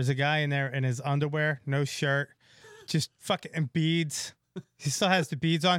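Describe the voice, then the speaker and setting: With a plain, everyday voice, a man speaks at a moderate pace in a fairly high pitch with fairly even intonation, the sound dry and close with no echo. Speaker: comedian. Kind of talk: casual chat. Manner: joking, dark humor.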